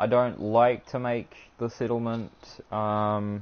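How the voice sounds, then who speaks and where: A man's fairly low, monotone voice with flat intonation and a New Zealand accent. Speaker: gaming streamer. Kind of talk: live gameplay stream commentary. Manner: usually fast-talking; occasional stutter.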